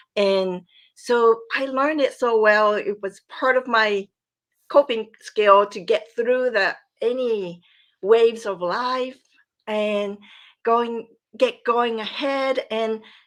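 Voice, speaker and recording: Speaking very slowly with long, frequent pauses, a woman with a Japanese accent uses a fairly high pitch and fairly even intonation against a quiet background. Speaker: podcast guest, coaching graduate. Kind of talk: personal testimony.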